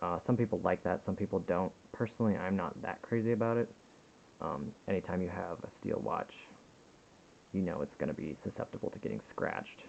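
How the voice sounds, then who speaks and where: Mumbling from a man at a very deep, low pitch, with ordinary pitch variation and a fairly quick pace. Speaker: watch reviewer. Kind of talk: casual product review to camera. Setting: home recording on a compact camera, poor sound.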